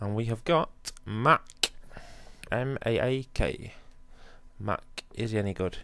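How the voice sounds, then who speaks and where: A man talks at a fairly low pitch. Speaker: gaming YouTuber. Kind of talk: gameplay commentary. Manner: hesitant with frequent ums.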